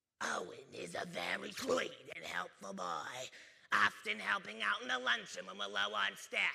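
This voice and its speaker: Raspy and in a put-on character voice, a man speaks at a moderate pace. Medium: stage play.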